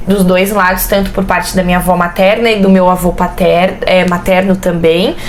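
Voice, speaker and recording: A woman talks at a medium pitch. The room echo is audible, and background noise is noticeable too. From Brusque, Santa Catarina, southern Brazil. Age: 20s. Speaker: pedagogy student and mother. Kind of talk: interview, casual chat. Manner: talkative.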